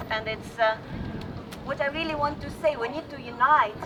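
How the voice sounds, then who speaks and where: Over noticeable background noise, a woman speaks in a Russian accent. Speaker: rally speaker. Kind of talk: public speech. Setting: outdoor rally. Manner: halting.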